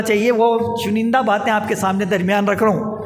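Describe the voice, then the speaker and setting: A man's voice carries audible room echo and noticeable background noise. His intonation is fairly even. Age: 60s. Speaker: public speaker, community activist. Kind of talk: public speech.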